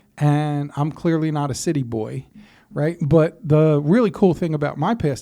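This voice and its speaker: Recorded very cleanly against a silent background, a man with an American accent has a fairly high pitch and a dark, mellow tone. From Philadelphia suburbs, US. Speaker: podcast host, navy veteran. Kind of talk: casual conversation. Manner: casual, filler-heavy.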